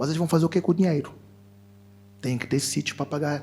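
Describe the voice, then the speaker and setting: The speaker rushes along at a very fast pace with vocal fry. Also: man. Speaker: fintech executive, panelist. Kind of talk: panel discussion.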